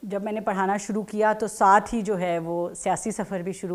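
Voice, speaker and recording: The intonation here is monotone and flat. It belongs to a woman. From Pakistan. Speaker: politician. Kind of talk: interview. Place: office.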